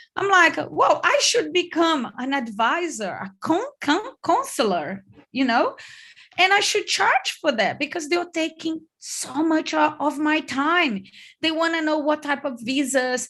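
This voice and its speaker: A woman's high-pitched voice with a Brazilian accent, bright and sharp in tone, lively intonation at a fairly slow pace over a quiet background. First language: Portuguese. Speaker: online business coach. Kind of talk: online workshop. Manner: loud.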